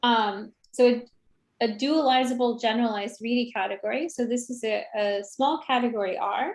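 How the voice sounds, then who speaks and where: A woman with a high pitch keeps a moderate pace, her pitch varying in an ordinary way. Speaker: mathematics lecturer. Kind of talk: lecture. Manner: halting, many fillers.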